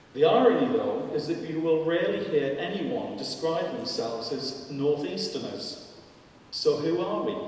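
Strong room echo and light background noise surround a man speaking at a fairly high pitch. His pitch swings very widely. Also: moderate pace. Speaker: panel speaker. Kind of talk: public lecture. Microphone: podium.

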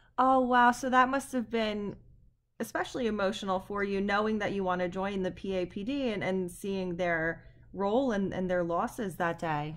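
Against a quiet background, a woman with an unremarkable speaking voice talks at a moderate pace and medium pitch, with ordinary pitch variation. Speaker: history professor. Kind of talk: oral history interview.

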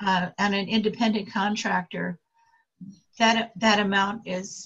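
Her voice sits at a medium pitch, with vocal fry. This woman's intonation is monotone and flat. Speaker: tax student. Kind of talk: casual chat.

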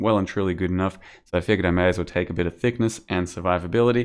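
A man's very deep, low voice at a very fast pace, with ordinary pitch variation and a quiet background. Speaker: gaming youtuber; game streamer. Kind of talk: gameplay commentary. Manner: casual with fillers. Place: home room.

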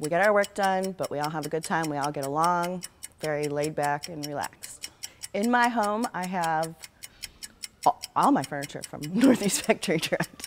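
Against faint background music, a woman with an American accent talks at a moderate pace, her fairly low pitch carrying lively intonation. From Ohio, Cleveland area; Ohio. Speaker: furniture store employee. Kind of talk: staff interview answering questions. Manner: casual, laughing. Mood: cheerful, relaxed. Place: shop.

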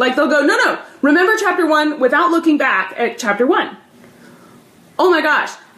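An animated voice moves at a fairly quick pace with audible room echo. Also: woman. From US South. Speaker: math teacher. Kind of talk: live stream advice talk. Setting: livestream at home filmed on tablet. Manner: animated, talks with her hands. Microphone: phone near.

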